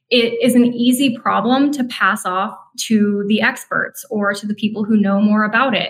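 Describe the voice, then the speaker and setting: A woman speaks in an American accent with a plain, everyday voice. Her pitch is fairly high and her intonation fairly even. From northern Minnesota. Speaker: CEO of a conservative environmental group. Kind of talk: interview conversation.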